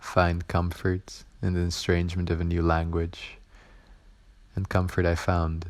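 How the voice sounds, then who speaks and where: A man with a Dutch accent speaks in a very deep, low voice with monotone, flat intonation. His pace is fairly slow, with long, frequent pauses. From Netherlands. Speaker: art student. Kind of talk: spoken word poetry performance.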